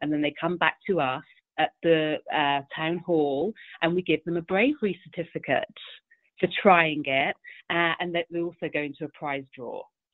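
Speaking with a British accent, a woman keeps a fairly low pitch and fairly even intonation. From England. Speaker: event organizer. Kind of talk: casual interview.

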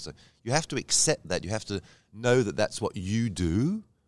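A man with an English accent, fairly low pitch, lively intonation and a moderate pace. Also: very clean recording, silent background. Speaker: cabaret performer. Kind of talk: casual interview.

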